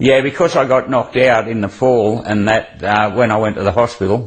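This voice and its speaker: A strong Australian accent at a moderate pace with ordinary pitch variation. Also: man. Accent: broad Australian. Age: 70s. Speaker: greyhound trainer. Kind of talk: TV interview. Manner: halting, casual.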